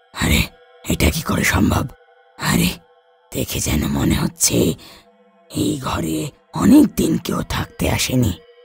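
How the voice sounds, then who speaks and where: In a cartoonish character voice, a man growls out raspy, very deep, low-pitched lines at a fairly slow pace, with music in the background. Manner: blunt, commanding.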